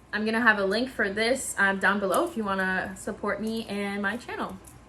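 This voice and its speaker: A woman with a slight French accent and medium pitch, amid noticeable background noise. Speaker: YouTuber / video creator. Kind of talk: informal. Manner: casual, chatty, frequent fillers.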